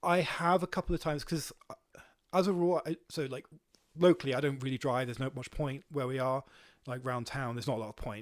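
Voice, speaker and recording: Talking at a very fast pace in a Welsh accent, a man speaks fairly high with ordinary pitch variation, the sound dry and close with no echo. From Wales. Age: 30s. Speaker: volunteer counter-propaganda activist. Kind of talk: podcast interview. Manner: halting, many fillers.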